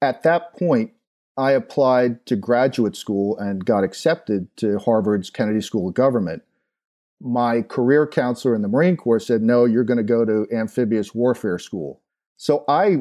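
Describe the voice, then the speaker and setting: This is an unremarkable speaking voice with an American accent and ordinary pitch variation. The pace is moderate. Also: man. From Long Island, New York. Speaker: former marine officer. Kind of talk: interview.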